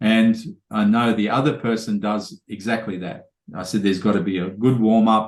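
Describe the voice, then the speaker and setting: Against a quiet background, a man with an Australian accent speaks at a moderate pace with fairly even intonation and a fairly low pitch. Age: 50s. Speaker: podcast host. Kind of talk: casual chat.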